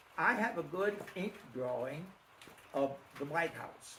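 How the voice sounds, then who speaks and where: A man with an American accent talks at a fairly slow pace, his fairly high pitch carried by lively intonation. Noticeable background noise and audible room echo fill the recording. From Pennsylvania, Schuylkill County. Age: 80s+. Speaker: local elder recounting childhood memories. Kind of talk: reminiscing talk with Q&A. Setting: presentation to small audience. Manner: halting with many fillers.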